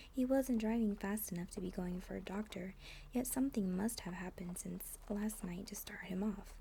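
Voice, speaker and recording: A soft-spoken woman talks at a moderate pace and medium pitch with ordinary pitch variation. Her tone is dark and mellow and somewhat breathy. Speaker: ASMR content creator. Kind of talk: soft-spoken ASMR audiobook reading. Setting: rain sounds on window in the background. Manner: soft-spoken, quiet.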